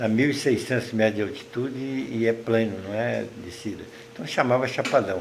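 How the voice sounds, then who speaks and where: Room echo and background noise are both audible around a man. He keeps a moderate pace with fairly even intonation. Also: medium pitch for a man. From Minas Gerais, Brazil (Triângulo Mineiro). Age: 80s+. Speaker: writer and retired teacher. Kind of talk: interview.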